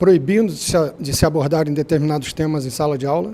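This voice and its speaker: A man speaks at a fairly high pitch with a dark, mellow tone and ordinary pitch variation. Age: 60s. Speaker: astrologer and former stage artist. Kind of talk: panel debate.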